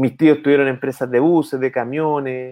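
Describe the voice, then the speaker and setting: Speaking at a medium pitch, a man keeps a monotone, flat intonation. His pace is fairly slow. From Chile, O'Higgins region. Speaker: entrepreneur and innovation consultant. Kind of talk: casual interview. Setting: video call from home office.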